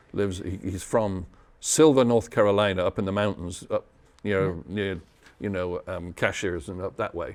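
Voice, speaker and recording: A man with a British accent speaks at a fairly quick pace, his pitch fairly low with ordinary variation. The recording is very clean, with a silent background. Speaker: radio DJ. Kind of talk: interview answer.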